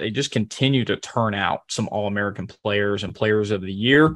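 This man talks at a very fast pace. His pitch is medium, with ordinary pitch variation. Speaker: podcast co-host.

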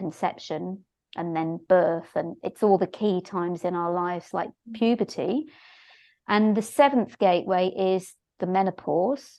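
A woman speaks at a moderate pace in an ordinary speaking voice. Her pitch is medium with ordinary pitch variation. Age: 60s. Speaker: shiatsu therapist and teacher. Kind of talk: interview conversation.

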